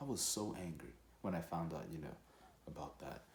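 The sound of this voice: A man's low-pitched voice with audible room echo. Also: slightly mellow tone.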